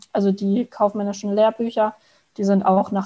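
Here is a woman's voice. It sounds somewhat breathy. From Palatinate, Germany (Frankenthal). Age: 20s. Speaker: fitness product manager, former trainee. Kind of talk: podcast interview.

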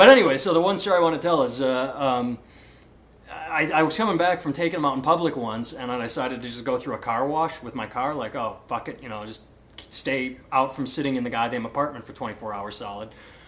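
In an ordinary speaking voice with an American accent, the speaker moves at a fairly quick pace with ordinary pitch variation. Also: man, medium pitch for a man. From Iowa. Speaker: comedian and podcast host. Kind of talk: casual chat. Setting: home recording in co-host's house.

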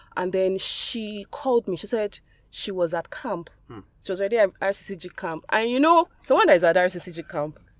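Over noticeable background noise, a woman at medium pitch speaks at a moderate pace with lively intonation and big swings in loudness, the sound dry and close with no echo. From Nigeria. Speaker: podcast guest. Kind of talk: testimony.

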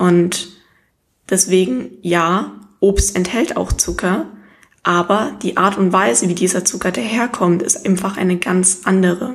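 A woman's medium-pitched voice with vocal fry, ordinary pitch variation and a fairly slow pace. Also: very even loudness. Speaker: nutrition podcast host. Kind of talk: solo educational talk. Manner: less enthusiastic than usual.

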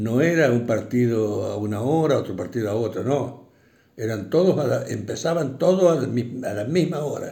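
A man speaks with lively intonation and vocal fry. There is audible room echo. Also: medium pitch for a man, moderate pace. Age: 80s+. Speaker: retired bank employee, interviewee. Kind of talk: interview. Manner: halting, many fillers.

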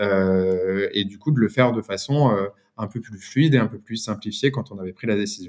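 Over a very clean recording with a silent background, a man talks at a moderate pace in an unremarkable speaking voice with ordinary pitch variation. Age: 30s. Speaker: brand founder. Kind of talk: interview.

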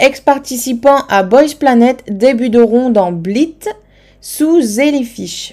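A woman talks at a high pitch in a dark, mellow tone. Her pitch variation is ordinary. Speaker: K-pop podcast host. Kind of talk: solo podcast monologue. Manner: hesitant, many fillers.

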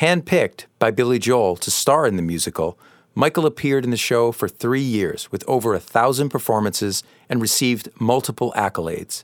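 A man talks at a fairly quick pace with lively intonation and medium pitch. The recording is very clean with a silent background and a dry, close sound with no echo. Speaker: podcast host and keyboardist. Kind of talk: casual interview. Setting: supper club. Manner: polished voiceover style.

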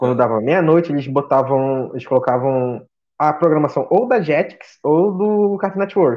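Speaking at a moderate pace with lively intonation, a man has a fairly high pitch and an unremarkable speaking voice. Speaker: podcast guest. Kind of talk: casual chat.

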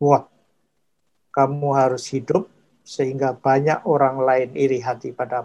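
A man speaks with a dark, mellow tone and monotone, flat intonation. Long, frequent pauses break up his speech. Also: medium pitch for a man, fairly slow pace. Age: 80s+. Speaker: food technology professor. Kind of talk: interview. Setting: podcast.

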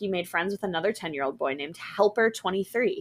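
A woman with a medium-pitched voice speaks in a dramatic, playful tone with lively intonation. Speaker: podcast host. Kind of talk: ghost story telling, reading a scary tale aloud. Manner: dramatic, playful, acting out the dialogue.

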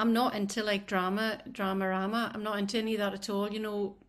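A woman with a Scottish accent talks at a fairly quick pace in a medium pitch with monotone, flat intonation. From Scottish island. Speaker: music industry worker. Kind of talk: casual interview chat.

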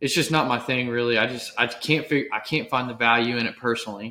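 A man speaks with a Texan accent in a bright, sharp tone. His intonation is fairly even. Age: 30s. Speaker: podcast host. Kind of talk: casual interview chat.

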